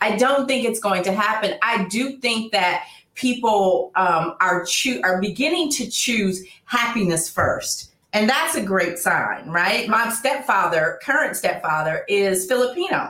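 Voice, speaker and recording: A woman with a plain, everyday voice and an American accent, fairly high in pitch, lively in intonation, at a fairly slow pace with hardly any pauses. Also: very even loudness. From Oakland, California. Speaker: relationship expert. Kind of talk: interview.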